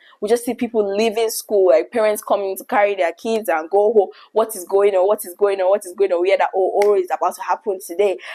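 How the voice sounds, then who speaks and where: Someone with a Nigerian accent talks at a very fast pace, with hardly any pauses. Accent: Nigerian, vibrant. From Nigeria, Lagos. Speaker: YouTuber. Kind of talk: storytelling monologue.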